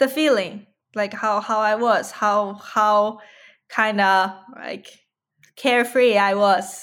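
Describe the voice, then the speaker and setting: A woman with a Chinese accent speaks at a fairly high pitch and very slow pace, with long, frequent pauses, in a very clean recording with a silent background. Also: fairly even intonation. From China (Yunnan). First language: Mandarin Chinese. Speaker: musician and poet. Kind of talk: interview. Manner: halting.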